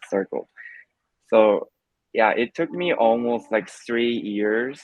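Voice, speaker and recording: A man with a Korean accent. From South Korea. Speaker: immigrant interviewee. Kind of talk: interview. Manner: hesitant, many fillers.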